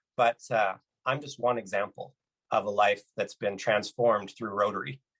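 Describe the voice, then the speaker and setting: Someone with a Canadian accent and a plain, everyday voice speaks at a moderate pace with fairly even intonation, in a dry, close sound with no echo. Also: man, medium pitch for a man. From Canada, British Columbia. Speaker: motivational speaker. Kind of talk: keynote talk. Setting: virtual conference.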